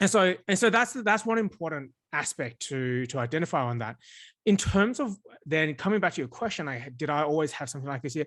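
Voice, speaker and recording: Fairly quick speech in an Australian accent with very wide pitch swings, over a quiet background. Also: man, fairly high pitch for a man. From Australia, migrated from China at five or six. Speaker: startup founder. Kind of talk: podcast interview.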